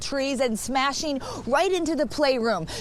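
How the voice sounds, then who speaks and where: Noticeable background noise sits behind a woman who talks at a moderate pace with ordinary pitch variation. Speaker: TV news anchor and reporter. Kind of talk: TV news anchor and field reporter delivery.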